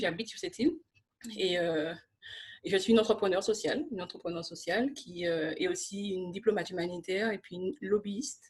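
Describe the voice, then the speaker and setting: A woman talks with a medium pitch. Her voice is somewhat breathy. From Martinique. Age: 30s. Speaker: social entrepreneur and lobbyist. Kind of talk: interview.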